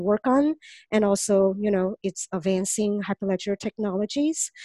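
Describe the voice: A woman at medium pitch and moderate pace, dark and mellow in tone, with ordinary pitch variation and a dry, close sound with no echo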